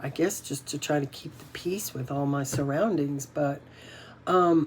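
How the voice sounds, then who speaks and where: At a fairly slow pace, a woman speaks in a very deep, low voice with ordinary pitch variation over noticeable background noise. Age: 60s. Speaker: inspirational vlogger. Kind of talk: casual motivational talk to camera. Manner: halting, with many fillers and repeats.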